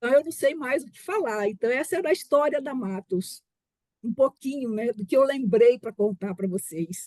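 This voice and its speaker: The voice has a dark, mellow tone and lively intonation, with big swings in loudness. The sound is dry and close with no echo. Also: woman, high pitch for a woman, moderate pace. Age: 60s. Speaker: family business founder, board member. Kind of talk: personal story in webinar.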